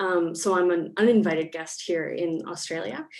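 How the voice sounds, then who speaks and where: A woman speaks in an unremarkable speaking voice with a Canadian accent. Her pitch is fairly low and her pace fairly slow. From Canada. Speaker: academic panelist. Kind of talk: panel discussion.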